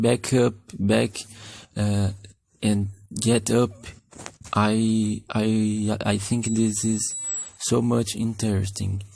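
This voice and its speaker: A man with a non-native accent talks very slowly, with long, frequent pauses, in a fairly low, dark, mellow tone. His intonation is monotone and flat, and his loudness stays very even. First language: Portuguese. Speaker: animation youtuber. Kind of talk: tutorial. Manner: halting.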